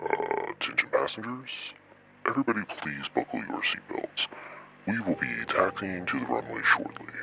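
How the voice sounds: Growling in a put-on character voice, a man speaks at a moderate pace.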